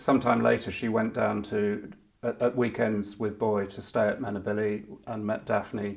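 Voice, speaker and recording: A man speaks at a moderate pace with vocal fry. His intonation is monotone and flat. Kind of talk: interview recollection.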